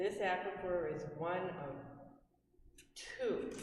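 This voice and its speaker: A woman amid audible room echo and noticeable background noise. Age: 70s. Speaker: resident giving public comment. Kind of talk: public comment at town meeting. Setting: town hall meeting.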